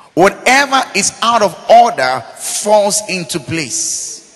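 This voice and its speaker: Over noticeable background noise, a man speaks in a high pitch with lively intonation and an animated tone. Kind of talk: sermon. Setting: church with a congregation. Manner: rhetorical call-and-response, asking 'Are we together?'.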